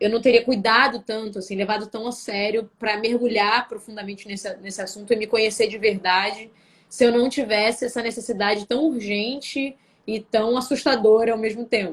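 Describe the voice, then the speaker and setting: A woman speaks at a fairly high pitch and moderate pace with fairly even intonation. Her loudness swings widely. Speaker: singer and actress. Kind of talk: interview on a live stream.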